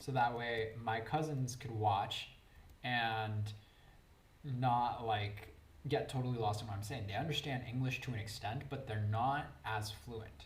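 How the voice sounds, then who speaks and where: Against noticeable background noise and audible room echo, a man talks at a fairly slow pace. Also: medium pitch for a man, ordinary pitch variation. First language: Spanish. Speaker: Twitch streamer playing Minecraft. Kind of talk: casual live-stream chat while gaming. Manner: chatty, casual, with fillers.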